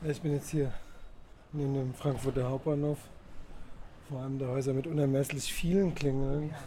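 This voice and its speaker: The man's voice is fairly high in pitch, with monotone, flat intonation. He keeps a moderate pace broken by long, frequent pauses. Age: 40s. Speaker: bicycle food courier and works council member. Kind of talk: interview. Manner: hesitant, frequent fillers.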